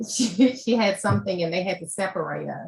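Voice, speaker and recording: Vocal fry marks a woman speaking at a moderate pace. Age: 60s. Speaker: panel speaker sharing adoption story. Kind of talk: testimony.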